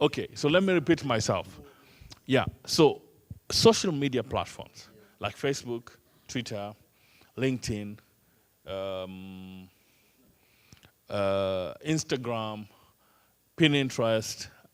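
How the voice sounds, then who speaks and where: A man with an East African accent at a medium pitch, very slow, with lively intonation and long, frequent pauses. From Kenya. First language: Swahili. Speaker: trainer. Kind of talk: lecture.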